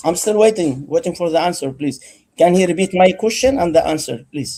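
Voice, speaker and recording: High-pitched yet dark and mellow in tone, a man speaks at a fairly quick pace with lively intonation on a very clean recording with a silent background. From Egypt. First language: not English. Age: 50s. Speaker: debate participant. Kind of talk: heated debate. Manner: insistent, interrupting.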